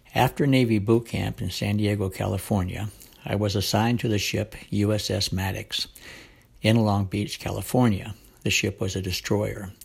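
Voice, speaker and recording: With vocal fry and an American accent, a man speaks at a moderate pace in a fairly low pitch with fairly even intonation. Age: 70s. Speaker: war veteran. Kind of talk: scripted narration.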